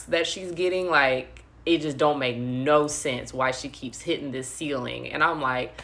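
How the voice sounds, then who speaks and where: A woman's very deep, low voice with a bright, sharp tone, ordinary pitch variation and a moderate pace. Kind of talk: devotional livestream talk. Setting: live stream. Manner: animated.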